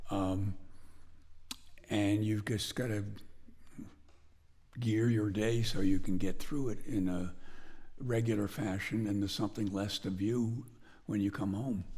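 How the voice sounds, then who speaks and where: A man with an American accent and a dark, mellow tone speaks fairly low and slow with fairly even intonation and long, frequent pauses, in a room with audible echo. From northwestern Connecticut, US. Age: 80s+. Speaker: blacksmith. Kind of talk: interview.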